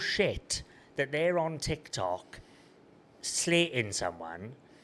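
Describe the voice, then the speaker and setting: A man talks with a Welsh accent. His pace is very slow. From Wales. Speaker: online seller and content creator. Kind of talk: casual chat.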